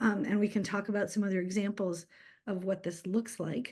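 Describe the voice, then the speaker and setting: The voice is dark and mellow, belonging to a woman. Nothing stirs in the background. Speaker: community energy organizer. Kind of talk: presentation.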